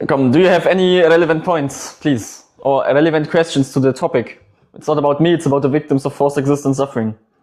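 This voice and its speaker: A man with a non-native accent talks at a very fast pace in a fairly high pitch. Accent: noticeable non-native. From Germany. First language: German. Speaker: livestream debate host and activist. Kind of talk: livestream debate. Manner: animated, argumentative.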